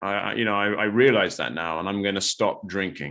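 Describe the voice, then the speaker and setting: Against a quiet background, a man talks with a fairly low pitch and ordinary pitch variation. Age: 40s. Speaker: recovering alcoholic. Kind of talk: interview testimony. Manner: hesitant, many fillers.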